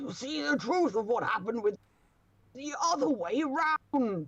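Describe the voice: In a put-on character voice with a fairly high pitch, this speaker moves at a fairly slow pace with very wide pitch swings.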